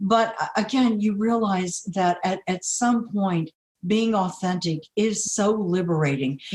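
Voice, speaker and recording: At a fairly slow pace, a woman speaks at medium pitch with ordinary pitch variation, somewhat breathy and at very even loudness. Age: 60s. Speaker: near-death experience survivor. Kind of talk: podcast interview.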